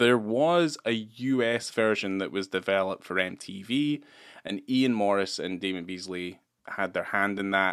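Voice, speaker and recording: The recording is very clean with a silent background. A man speaks at a fairly low pitch with ordinary pitch variation. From Scotland, Edinburgh. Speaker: podcast co-host. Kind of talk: casual chat.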